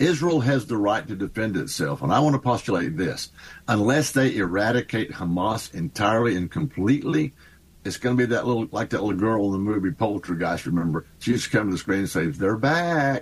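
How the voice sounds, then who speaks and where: With a Texan accent, a man talks at a fairly quick pace, his fairly low pitch swinging very widely. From Texas. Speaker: congressman. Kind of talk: radio interview.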